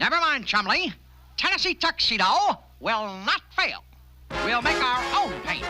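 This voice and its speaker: A cartoonish character voice, fairly high in pitch, with very wide pitch swings, long, frequent pauses and clear background noise. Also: moderate pace. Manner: eager, bossy.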